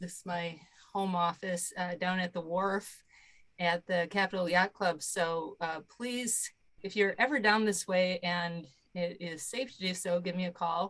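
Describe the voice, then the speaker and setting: A woman with an American accent, a normal speaking voice and medium pitch, at a fairly slow pace with fairly even intonation. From US Midwest, Michigan. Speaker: partner organization staff. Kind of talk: self-introduction on a video call. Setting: video call from home office.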